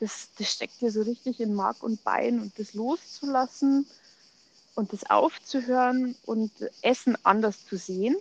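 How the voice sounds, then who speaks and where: A normal speaking voice at a fairly slow pace, ordinary pitch variation, dry and close with no echo. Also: woman, fairly high pitch for a woman. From Germany, Munich. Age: 40s. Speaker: ayurveda coach, podcast co-host. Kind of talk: casual chat.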